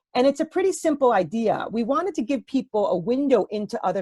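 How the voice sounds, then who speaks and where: In a New York accent, a woman talks at a fairly quick pace with very wide pitch swings, recorded dry and close with no echo. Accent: New York American. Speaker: professor. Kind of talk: Q&A answer after a lecture. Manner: fast.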